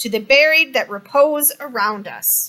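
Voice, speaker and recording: The speaker uses a put-on character voice and keeps a moderate pace. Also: woman. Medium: read story. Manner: boastful, dismissive.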